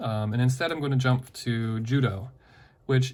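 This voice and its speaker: A somewhat breathy man's voice at medium pitch, with ordinary pitch variation and a moderate pace. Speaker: teacher. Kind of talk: lesson.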